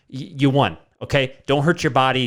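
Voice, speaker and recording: A man with a fairly high pitch talks at a fairly quick pace in an animated tone. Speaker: podcast host. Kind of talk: casual podcast monologue. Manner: fast.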